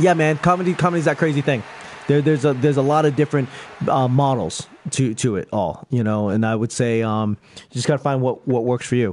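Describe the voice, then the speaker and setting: A man with an American accent talks at a medium pitch, with ordinary pitch variation. He goes at a fairly quick pace over noticeable background noise. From Boston. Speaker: stand-up comedian. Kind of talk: casual chat.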